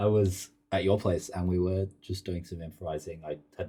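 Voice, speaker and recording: A man's very deep, low voice, dark and mellow, somewhat breathy, at a moderate pace. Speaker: podcast host. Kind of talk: casual interview chat. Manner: drowsy, zonked-sounding.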